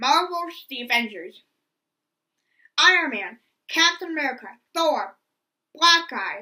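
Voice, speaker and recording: Using a raised, projected voice, a woman speaks with a bright, sharp tone at a high pitch, with very wide pitch swings, big swings in loudness, a fairly slow pace and long, frequent pauses. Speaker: movie reviewer. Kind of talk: scripted review narration. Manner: stuttering.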